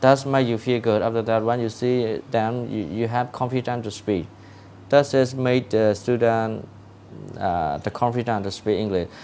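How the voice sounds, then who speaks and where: This man's voice sits at a medium pitch with a dark, mellow tone. He keeps a moderate pace and ordinary pitch variation. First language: Burmese. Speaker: English learning advice giver. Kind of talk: casual advice talk. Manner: halting, many fillers and repetitions.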